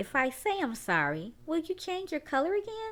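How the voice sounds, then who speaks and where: A woman's put-on character voice, extremely high-pitched, at a moderate pace. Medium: read story.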